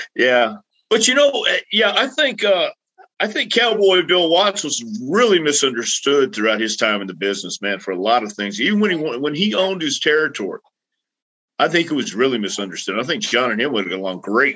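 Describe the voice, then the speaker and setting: A man with an American accent talks at a fairly quick pace in a fairly high pitch with very wide pitch swings. His tone is bright and sharp, with vocal fry. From Texas (El Paso). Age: 60s. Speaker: retired pro wrestler and wrestling trainer. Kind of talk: casual interview chat.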